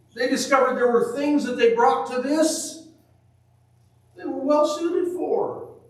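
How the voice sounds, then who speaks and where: Over noticeable background noise, a man speaks at a fairly slow pace. His intonation is lively. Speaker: preacher. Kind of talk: sermon. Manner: loud.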